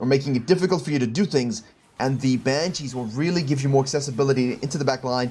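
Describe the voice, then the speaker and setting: Very fast and somewhat breathy, a man speaks at a fairly high pitch with lively intonation. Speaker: game coach. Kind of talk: coaching review of gameplay footage. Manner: thinking aloud, hesitant at times.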